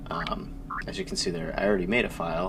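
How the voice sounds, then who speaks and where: Noticeable background noise and audible room echo surround a man who talks fairly fast. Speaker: gaming video creator. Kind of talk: let's play commentary. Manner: loud; excited. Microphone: no mic adjustment settings, may be loud.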